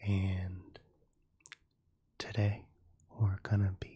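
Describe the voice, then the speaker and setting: A soft-spoken, somewhat breathy man with a fairly low pitch and dark, mellow tone in a very clean recording with a silent background. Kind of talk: ASMR talk to camera.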